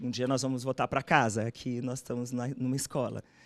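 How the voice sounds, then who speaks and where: Over a silent background on a very clean recording, a woman speaks fairly quickly with a very deep, low pitch. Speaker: doctoral candidate. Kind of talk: thesis defense answering examiner.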